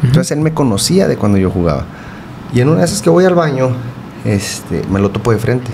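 A man speaks at a very fast pace and medium pitch, with very even loudness. Long, frequent pauses break it up, and noticeable background noise is present. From Ciudad Juárez, Chihuahua, northern Mexico. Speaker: goalkeeper coach. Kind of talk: casual interview. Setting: studio. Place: home room. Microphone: studio mic.

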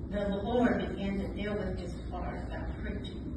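A woman speaks with loud background noise. Audible room echo surrounds her voice. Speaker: pastor's widow. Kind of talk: testimony. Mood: warm, reflective. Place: hall.

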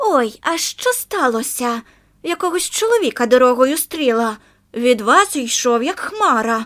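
A woman's put-on character voice, high in pitch and fairly slow in pace. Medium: read story.

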